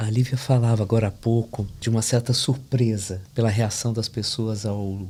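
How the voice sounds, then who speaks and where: A man's medium-pitched, somewhat breathy voice, dark and mellow in tone, monotone and flat, at a moderate pace. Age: 60s. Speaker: literary critic. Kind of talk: podcast panel discussion.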